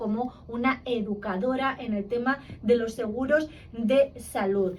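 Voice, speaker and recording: Noticeable background noise around a woman's high voice. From Spain. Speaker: interviewer. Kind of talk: interview.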